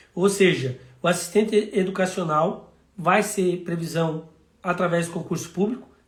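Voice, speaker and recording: High-pitched male speech at a fairly slow pace, ordinary pitch variation, in audible room echo. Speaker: city councillor. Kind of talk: live stream talk.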